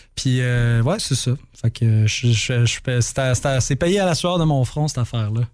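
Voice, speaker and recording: Speaking at a very slow pace, a man with a medium pitch holds a very even loudness and ordinary pitch variation. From Quebec, Saint-Hubert (Montreal South Shore). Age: 30s. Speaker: rock musician. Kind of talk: interview. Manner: halting.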